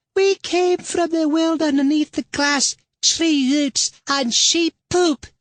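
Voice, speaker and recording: Squeaky and high in pitch, a put-on character voice moves at a fairly slow pace. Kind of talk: comic overacting. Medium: read story.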